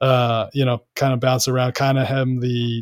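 The recording is very clean, with a silent background. A man talks at a medium pitch. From Kansas City. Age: 30s. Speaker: sportswriter. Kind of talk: interview. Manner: halting, many fillers.

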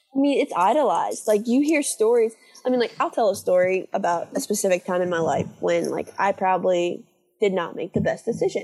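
Music can be heard in the background. Over it, a woman speaks with lively intonation. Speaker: graduate school applicant. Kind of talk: casual chat.

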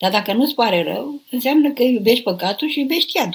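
A woman's voice with very wide pitch swings. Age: 70s. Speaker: nun and abbess answering questions. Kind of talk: live spiritual Q&A. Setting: live online broadcast.

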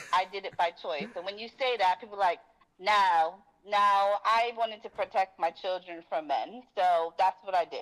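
A woman has an unremarkable speaking voice at medium pitch. Her pace is moderate, with ordinary pitch variation. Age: 40s. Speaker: caller. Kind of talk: call-in discussion.

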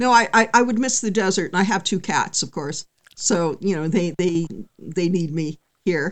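A woman talks with an American accent at a moderate pace. Her pitch is medium, with ordinary variation. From California. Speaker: singer-songwriter and punk musician. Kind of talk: interview conversation.

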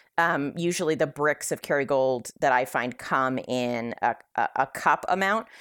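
With a West Coast US accent, a woman speaks in a very deep, low voice at a moderate pace with ordinary pitch variation. Her loudness stays very even, and the recording is very clean with a silent background. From California. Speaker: Facebook group admin and keto advocate. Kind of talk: recipe tutorial; casual chat.

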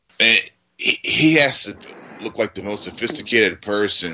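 This man talks at a moderate pace with lively intonation and a fairly low pitch. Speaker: podcast co-host. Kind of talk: casual banter. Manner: crude, jokey.

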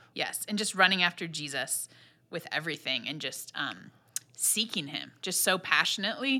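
At a moderate pace, the voice has a bright, sharp tone and very wide pitch swings. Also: woman, medium pitch for a woman. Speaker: podcast co-host. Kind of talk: casual chat.

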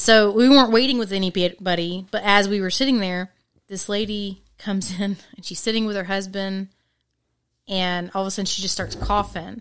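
In a very clean recording with a silent background, a woman with a plain, everyday voice speaks at a moderate pace and medium pitch, her intonation fairly even but her loudness swinging a lot. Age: 30s. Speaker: returning podcast guest. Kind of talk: casual chat.

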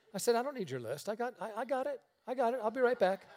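A man speaks with a Western New York accent. His pace is very fast. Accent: Western New York American. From upstate New York, near Niagara Falls. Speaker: traveling preacher. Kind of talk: sermon. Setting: church.

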